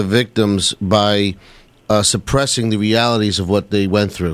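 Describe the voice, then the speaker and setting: A man with a fairly low pitch speaks in a New York accent. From New York (Queens). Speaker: 9/11 survivor and victims' family advocate. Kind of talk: radio talk show discussion.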